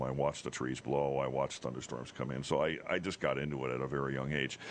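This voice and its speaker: Using vocal fry, a man talks at a very fast pace with a very deep, low pitch. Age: 60s. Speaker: TV meteorologist. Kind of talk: casual chat. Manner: animated storytelling.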